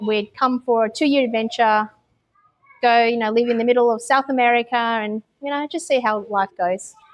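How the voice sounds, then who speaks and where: A woman with an Australian accent speaks at a moderate pace, her fairly high voice holding a fairly even intonation. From Australia, Melbourne. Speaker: expat mother. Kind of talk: interview. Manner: hesitant with many fillers.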